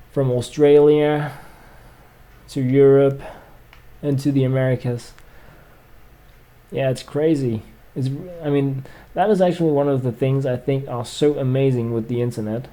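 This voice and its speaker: Pausing long and often, a man with a Scandinavian accent speaks at a moderate pace in a dark, mellow tone, with fairly high pitch and fairly even intonation. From Denmark. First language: Danish. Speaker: gaming streamer. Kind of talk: casual livestream chat. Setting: livestream. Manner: hesitant, many fillers.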